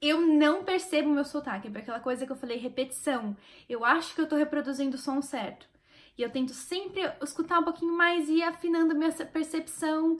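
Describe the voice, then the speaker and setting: This woman has a high pitch and an animated tone. She talks at a fairly quick pace with ordinary pitch variation. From Brazil. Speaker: YouTuber sharing language-learning tips. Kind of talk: casual vlog talk to camera.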